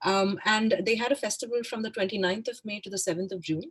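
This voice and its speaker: A woman speaks in a somewhat breathy voice. She moves at a fairly quick pace. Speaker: arts consultant, festival panelist. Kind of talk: presentation. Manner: fast.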